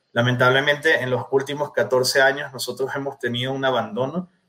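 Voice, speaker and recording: The man speaks at a fairly quick pace and a medium pitch. It is an ordinary speaking voice. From Venezuela. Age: 30s. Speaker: political candidate. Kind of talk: interview.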